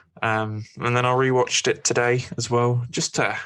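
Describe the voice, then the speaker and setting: A man with a Scottish accent, bright and sharp in tone. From Scotland. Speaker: podcast host. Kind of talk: casual chat.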